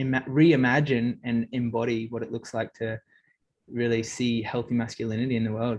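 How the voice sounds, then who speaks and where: Speaking with an Australian accent, the voice moves at a fairly quick pace. The intonation stays monotone and flat. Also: man. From far north Queensland, Australia. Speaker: interview guest. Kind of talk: interview.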